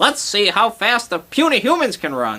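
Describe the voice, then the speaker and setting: Putting on a character voice, a man speaks at a moderate pace, high-pitched with very wide pitch swings. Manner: ominous, menacing.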